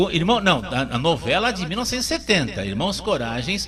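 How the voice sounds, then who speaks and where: Through noticeable background noise, a man talks at a moderate pace in a high pitch with very wide pitch swings. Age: 60s. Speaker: radio host. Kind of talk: talk show. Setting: radio studio. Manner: animated; halting.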